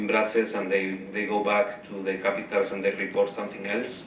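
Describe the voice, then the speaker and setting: Someone with a Spanish accent speaks at a fairly quick pace. The room echo is audible, and there is noticeable background noise. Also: man. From Spain. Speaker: blogger and panel rapporteur. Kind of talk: panel report-back. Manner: halting, many repeated words.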